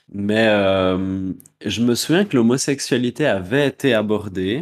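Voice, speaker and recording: Ordinary pitch variation in a man's medium-pitched voice on a very clean recording with a silent background. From Neuchâtel, Switzerland. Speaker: drag queen podcast co-host. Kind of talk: casual chat.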